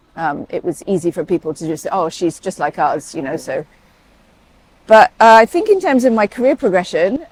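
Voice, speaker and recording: A woman with a British accent speaks at a moderate pace and medium pitch, her pitch swinging very widely, in a dry, close sound with no echo over noticeable background noise. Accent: sounds very British. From Saudi Arabia, then UK boarding school. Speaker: paediatric emergency doctor. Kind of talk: interview conversation. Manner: hesitant, many fillers.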